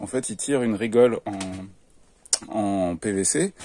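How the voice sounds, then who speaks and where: A man is talking here. He has a dark, mellow tone. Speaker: vlogger organizing a live-action role-play event. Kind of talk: casual vlog walkthrough. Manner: loud.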